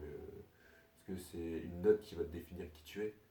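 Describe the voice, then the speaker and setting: A soft-spoken man is whispering. His voice is somewhat breathy. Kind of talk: casual monologue to camera. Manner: soft-spoken, partly whispered.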